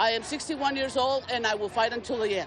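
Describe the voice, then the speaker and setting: A woman talks at a moderate pace in an American accent. Noticeable background noise runs underneath. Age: 60s. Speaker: protester. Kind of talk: news interview soundbite.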